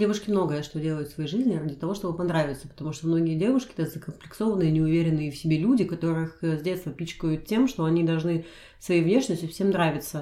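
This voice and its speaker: At a very fast pace, a woman with a fairly low pitch speaks with ordinary pitch variation. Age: 30s. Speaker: podcast co-host. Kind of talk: casual chat.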